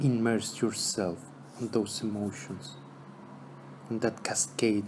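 A man's fairly low voice at a very slow pace, with noticeable background noise. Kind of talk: guided meditation. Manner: slow, calm, soothing, with long pauses between trilingual instructions.

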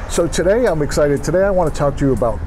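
A man is speaking. Music plays in the background. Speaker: filmmaker channel host. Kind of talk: casual vlog chat. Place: cafe. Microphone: webcam.

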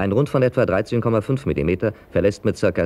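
This man has a dark, mellow tone and lively intonation. He speaks at a fairly quick pace. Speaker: narrator. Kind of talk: industrial documentary narration.

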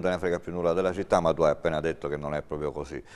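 A man is talking. His intonation is fairly even. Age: 50s. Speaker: tv talk show host. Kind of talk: political interview. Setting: studio. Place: studio. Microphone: lapel.

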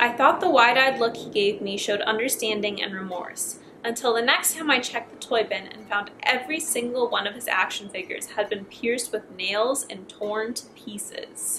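Amid noticeable background noise, a woman talks at a moderate pace with hardly any pauses and big swings in loudness. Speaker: YouTuber reading horror stories. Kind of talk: scripted horror story reading with casual commentary. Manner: casual, chatty. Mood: relaxed, playful. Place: home room.

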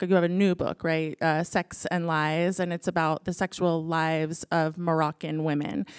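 Over a quiet background, a woman with a fairly low pitch talks at a moderate pace in a monotone, flat intonation. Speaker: interviewer. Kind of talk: onstage interview. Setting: stage with audience. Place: stage. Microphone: handheld.

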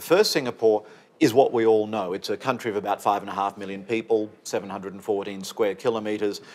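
A man speaks at a very fast pace. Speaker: senior trade commissioner. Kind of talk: conference talk. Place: office. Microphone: lapel.

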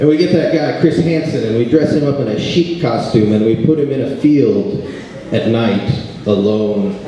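A man with lively intonation and an animated tone, in strong room echo over light background noise. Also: moderate pace. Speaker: stand-up comedian. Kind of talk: stand-up comedy. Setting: comedy club stage with live audience. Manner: irreverent, crude, sarcastic; animated, punchline-driven. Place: stage.

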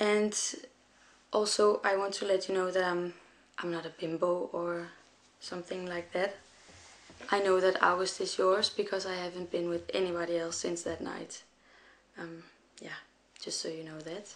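With a Danish accent, a woman talks at a moderate pace and medium pitch in a monotone, flat intonation, leaving long, frequent pauses. Her loudness swings widely, and noticeable background noise is present. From Denmark. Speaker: young mother. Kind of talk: personal appeal video. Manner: halting.

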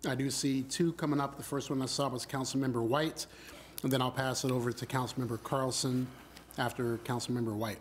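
A man's medium-pitched voice at a fairly quick pace, with very even loudness, monotone, flat intonation and light background noise. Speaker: mayor chairing council meeting. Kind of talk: formal public meeting. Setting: city council chambers. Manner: formal. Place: hall.

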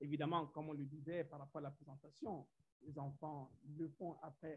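With a Central African accent, a man talks at a fairly high pitch. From Gabon. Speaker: science teacher. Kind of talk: conference presentation. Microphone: video call.

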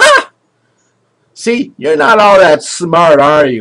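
This is a put-on character voice, strained and pitched in the middle range. It moves at a very slow pace. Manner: mocking, gloating.

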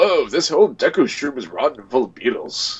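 A man puts on a character voice and moves at a fairly quick pace. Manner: exclaiming in surprise.

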